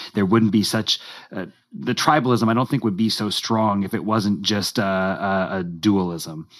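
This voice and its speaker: A man with an American accent speaks in a normal speaking voice, his pitch varying in an ordinary way. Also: fairly low pitch for a man, moderate pace. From United States. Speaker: guest, friend of the host. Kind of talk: casual discussion.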